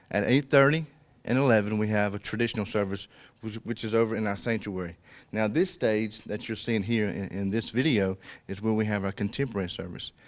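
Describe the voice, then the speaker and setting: Speaking at a fairly quick pace with a South Georgia accent, a man with a fairly low pitch shows ordinary pitch variation on a very clean recording with a silent background. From US South, south Georgia (Colquitt, Miller County). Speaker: pastor. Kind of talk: interview. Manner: conversational, with fillers.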